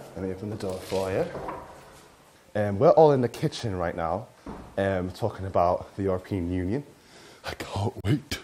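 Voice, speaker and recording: Over light background noise, a man speaks at a moderate pace in a fairly low voice, with ordinary pitch variation and long, frequent pauses. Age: young. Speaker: talk show host. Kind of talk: casual chat. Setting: kitchen. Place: hall. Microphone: phone near.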